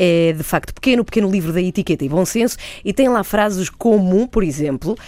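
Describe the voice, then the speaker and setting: Fairly quick and fairly low in pitch, a woman talks in an unremarkable speaking voice. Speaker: radio host. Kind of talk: radio interview.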